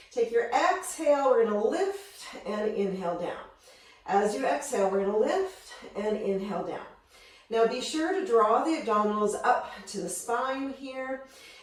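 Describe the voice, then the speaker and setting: Her voice sits fairly high and swings very widely in pitch at a moderate pace. The woman's recording carries noticeable background noise and audible room echo. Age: 50s. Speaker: fitness instructor. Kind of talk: workout instruction. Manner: energetic.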